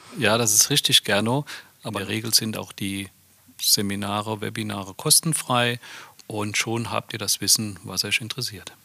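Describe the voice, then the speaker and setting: A man speaks at a moderate pace with a fairly low pitch, a bright, sharp tone and fairly even intonation, in a dry, close sound with no echo. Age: 50s. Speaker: head of a company training center. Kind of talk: casual chat.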